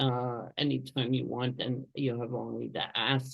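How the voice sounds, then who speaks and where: This woman has an American accent. She talks at a fairly slow pace. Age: 80s+. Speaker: museum consultant and lecturer. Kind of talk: online presentation. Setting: video call.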